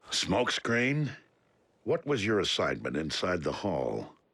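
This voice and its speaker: A man puts on a cartoonish character voice, talking at a fairly slow pace with very wide pitch swings. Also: fairly low pitch for a man. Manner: formal, measured.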